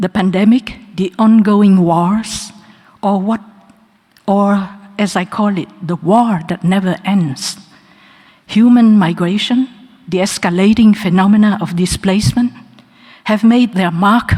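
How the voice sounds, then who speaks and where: Pausing long and often, a woman of medium pitch talks at a fairly slow pace with fairly even intonation. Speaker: honorary doctorate recipient. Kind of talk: acceptance speech. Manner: formal.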